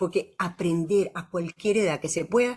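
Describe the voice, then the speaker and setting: With ordinary pitch variation, this woman's voice sits at a medium pitch. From Venezuela. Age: 70s. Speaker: physician and university professor. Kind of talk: casual chat. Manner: animated.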